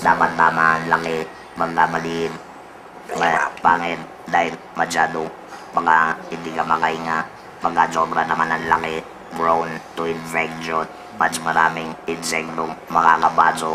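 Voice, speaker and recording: A man's very deep, low voice, monotone and flat, at a fairly slow pace with long, frequent pauses and music in the background. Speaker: laryngectomee, former radio announcer. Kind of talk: interview answer.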